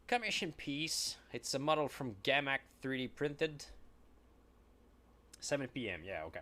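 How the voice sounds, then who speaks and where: With a French Canadian accent, a man talks at a moderate pace in a fairly high pitch, his bright, sharp tone and lively intonation broken by long, frequent pauses. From Quebec. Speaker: miniature painter streamer. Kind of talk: casual live-stream chat while painting. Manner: halting.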